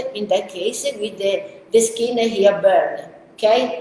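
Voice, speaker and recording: A woman with an Italian accent speaks at a fairly slow pace in an animated tone with lively intonation. Audible room echo and noticeable background noise surround her voice. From Italy, Rome. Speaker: pet groomer and trainer. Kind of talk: live webinar Q&A. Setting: video webinar. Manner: halting with many fillers and repetitions.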